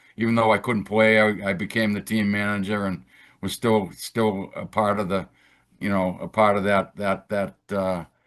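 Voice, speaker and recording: With a Boston accent, a man speaks at a moderate pace and a fairly low pitch. His delivery is monotone and flat, set against a quiet background. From Boston, Massachusetts. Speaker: retired federal agent. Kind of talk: interview. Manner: halting, many repeated words.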